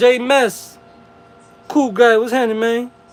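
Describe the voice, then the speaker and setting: Noticeable background noise surrounds a man whose voice is extremely high in pitch. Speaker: livestreamer. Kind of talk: casual livestream chat.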